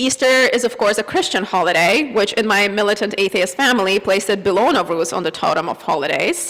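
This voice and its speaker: Over noticeable background noise, a woman with a Russian accent speaks with a fairly high pitch and lively intonation. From Azerbaijan. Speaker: church member giving reflection. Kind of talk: personal reflection read at a service. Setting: church service.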